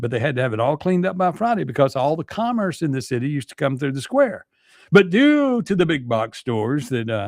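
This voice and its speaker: A man with a fairly high pitch and very wide pitch swings, in a Mississippi accent, at a very fast pace. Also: very clean recording, silent background. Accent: US Southern (Mississippi). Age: 60s. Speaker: radio talk show host. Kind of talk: talk radio monologue. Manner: casual, halting with many fillers.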